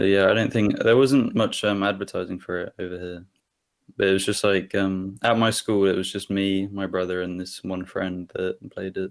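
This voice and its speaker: A man with an English accent speaks at a moderate pace in a fairly low pitch, his intonation monotone and flat, on a very clean recording with a silent background. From England. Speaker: fan of the game. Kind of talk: casual interview chat. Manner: hesitant, many fillers.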